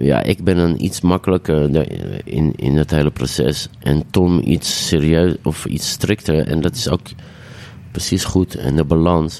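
A man with a very deep, low pitch speaks at a fairly slow pace, with ordinary pitch variation and very even loudness. Noticeable background noise runs beneath him. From Amsterdam, De Pijp. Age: 40s. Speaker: DJ and singer. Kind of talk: casual chat.

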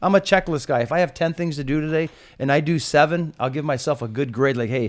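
A man with an American accent talks at a very fast pace in a fairly high pitch, with ordinary pitch variation. The recording is very clean, with a silent background. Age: 50s. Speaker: retiring police commander. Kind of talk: casual chat.

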